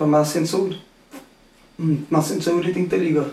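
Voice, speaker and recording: A man talks at a fairly slow pace with a fairly high pitch. Room echo is audible. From Cape Verde, Praia on Santiago. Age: 30s. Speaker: guest sharing his illness survival story. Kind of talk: personal testimony in interview.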